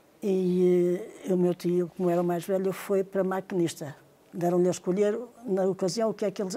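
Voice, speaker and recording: A woman speaks at a moderate pace and medium pitch, her intonation flat and monotone. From northern Portugal, Trás-os-Montes (Carrazeda de Anciães). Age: 70s. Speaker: interviewee recounting railway family memories. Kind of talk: oral history interview.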